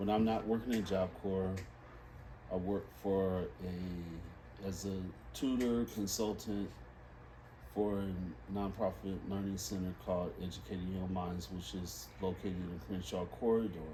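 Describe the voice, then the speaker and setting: A man with an American accent and a very deep, low pitch, somewhat breathy, with a dark, mellow tone, a fairly slow pace and audible room echo. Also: ordinary pitch variation. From Los Angeles, California. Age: 60s. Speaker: reading instructor. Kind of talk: interview.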